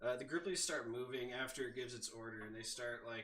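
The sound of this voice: An unforced reading voice is heard. The intonation stays lively throughout.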